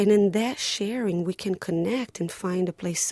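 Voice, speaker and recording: A woman speaks with a Portuguese accent in a fairly low pitch and a dark, mellow tone. Her pace is moderate and her pitch varies in an ordinary way. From Brazil. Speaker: playwright. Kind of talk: interview.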